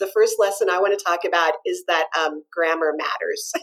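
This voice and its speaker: A woman speaks at a fairly quick pace in a medium pitch, her intonation flat and monotone. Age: 50s. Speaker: homeschool podcast co-host. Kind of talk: casual chat.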